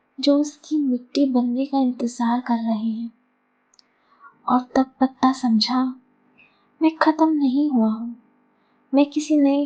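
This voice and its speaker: Soft-spoken and calm, a woman talks in a high voice with fairly even intonation and long, frequent pauses. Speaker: storyteller. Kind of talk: soothing story narration. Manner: soft-spoken, calm.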